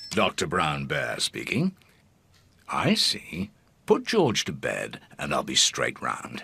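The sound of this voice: A man in a cartoonish character voice, at a fairly slow pace with long, frequent pauses.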